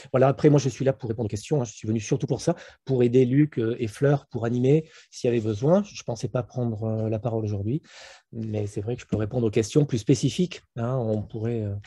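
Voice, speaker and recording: Against a quiet background, a man speaks at a fairly quick pace with medium pitch and ordinary pitch variation. His tone is dark and mellow, and somewhat breathy. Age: 60s. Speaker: internal medicine professor. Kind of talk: webinar panel discussion. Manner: hesitant, many fillers.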